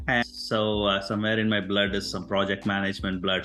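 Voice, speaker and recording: Over audible room echo, a man talks at a fairly quick pace with a fairly low pitch. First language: not English. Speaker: author and engineer. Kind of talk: interview conversation. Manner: halting, frequent fillers.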